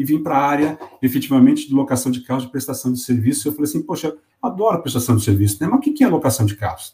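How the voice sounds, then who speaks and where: A dark, mellow male voice, somewhat breathy. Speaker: company executive. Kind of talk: interview.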